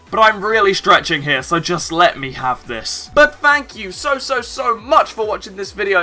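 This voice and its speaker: With music in the background, a man speaks in an animated tone with very wide pitch swings. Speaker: gaming youtuber. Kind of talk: casual commentary.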